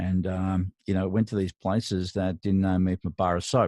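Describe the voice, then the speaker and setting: In a dry, close sound with no echo, a man with an Australian accent speaks in a very deep, low voice of dark, mellow tone. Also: very clean recording, silent background. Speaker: mastering engineer and mentor. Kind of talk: solo podcast monologue. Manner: hesitant, with frequent fillers.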